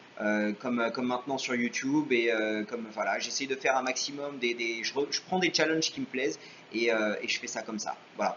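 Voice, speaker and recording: Fairly quick speech with ordinary pitch variation over noticeable background noise. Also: man, medium pitch for a man. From France, Paris. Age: 30s. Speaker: YouTuber. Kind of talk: Q&A vlog. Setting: home video recorded on webcam. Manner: hesitant, many fillers.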